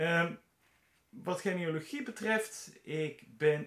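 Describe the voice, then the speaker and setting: The intonation rises and falls in a lively way. The pace is very slow. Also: man. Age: 50s. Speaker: podcast host, bioinformatician and genealogist. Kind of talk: solo podcast monologue. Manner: halting, frequent filler sounds.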